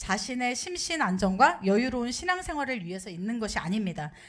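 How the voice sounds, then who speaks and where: Noticeable background noise and audible room echo accompany a woman speaking at a fairly quick pace with very wide pitch swings. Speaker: pastor's wife preaching. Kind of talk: sermon.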